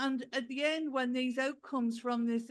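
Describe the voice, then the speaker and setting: The woman's high-pitched voice, recorded with a dry, close sound and no echo, carries fairly even intonation. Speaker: professor. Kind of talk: conference panel talk. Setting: conference hall.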